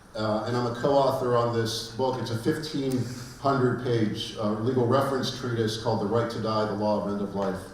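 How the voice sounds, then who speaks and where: A man with an American accent speaks at a fairly quick pace and medium pitch, his intonation fairly even, with audible room echo and noticeable background noise. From Pittsburgh, Pennsylvania, US. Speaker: law professor. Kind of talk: conference lecture. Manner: halting, many fillers.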